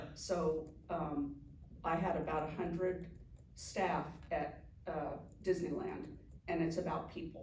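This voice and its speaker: A woman with an American accent speaks somewhat breathily in a monotone, flat intonation, at a fairly slow pace with long, frequent pauses, and room echo is audible. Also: fairly low pitch for a woman. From California, Anaheim. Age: 60s. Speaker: juvenile court director. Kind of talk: casual interview. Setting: sit-down interview with mayor.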